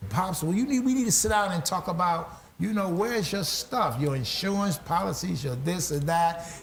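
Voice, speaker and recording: Through noticeable background noise, a man with a high pitch speaks with lively intonation, very even loudness and hardly any pauses. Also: moderate pace. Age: 60s. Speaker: pastor and talk show host. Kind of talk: interview conversation.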